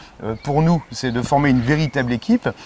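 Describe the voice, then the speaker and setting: Noticeable background noise runs behind a man whose fairly high voice moves at a fairly quick clip, his pitch varying in an ordinary way. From northern France, Pas-de-Calais (Béthune). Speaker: election candidate, politician. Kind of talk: interview. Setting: outdoors in a garden. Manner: hesitant, many fillers.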